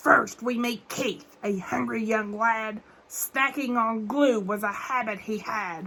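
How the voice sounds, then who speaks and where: The put-on character voice is delivered at a fairly slow pace. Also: woman, fairly high pitch for a woman. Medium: read story. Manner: rhyming, stern, ominous.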